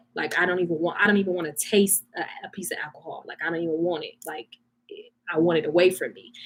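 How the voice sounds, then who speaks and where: A woman with a fairly low pitch talks at a very fast pace in an animated tone. Her loudness swings a great deal. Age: 30s. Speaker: vlogger. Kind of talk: live stream chat. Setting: live stream.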